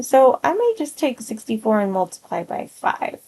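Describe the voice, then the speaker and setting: Her pitch is high and swings very widely as the woman speaks. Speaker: math teacher. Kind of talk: tutorial. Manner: slow.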